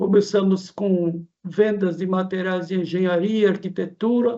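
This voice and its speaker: A man's high-pitched voice, fairly slow and monotone, with flat intonation. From interior of São Paulo state, Brazil. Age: 70s. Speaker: shopkeeper and spiritist group founder. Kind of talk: casual interview chat.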